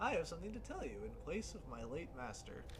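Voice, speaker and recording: A man does a put-on character voice at a very fast pace. Loud background noise fills the clip. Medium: game stream. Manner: formal, refined, measured.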